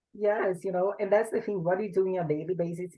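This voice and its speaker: Speaking at a fairly quick pace, a woman with a strong Portuguese accent has a fairly low pitch. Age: 20s. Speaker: bodybuilder. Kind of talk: interview.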